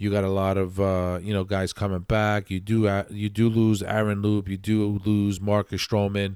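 A man's fairly low voice in an American accent, with monotone, flat intonation and hardly any pauses, in a very clean recording with a silent background. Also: moderate pace. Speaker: podcast host and Mets fan. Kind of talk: solo sports podcast, angry rant about the Mets. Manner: impassioned, opinionated, emphatic; conversational, filler-heavy, stumbling.

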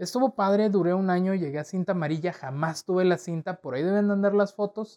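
Talking at a very fast pace, a man with a high pitch and a dark, mellow tone uses ordinary pitch variation against a quiet background. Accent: northern Mexican. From Torreón, northern Mexico. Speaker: podcast host. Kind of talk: solo personal storytelling. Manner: casual, many fillers.

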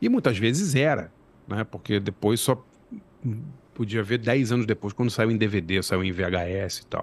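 At a moderate pace, a man with a plain, everyday voice speaks with lively intonation. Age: 50s. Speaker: journalist and screenwriter. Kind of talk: casual interview.

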